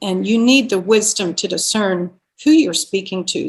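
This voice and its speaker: A woman speaks at a medium pitch and a moderate pace. Her voice is somewhat breathy. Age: 60s. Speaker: expressive arts therapist and author. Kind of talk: casual chat.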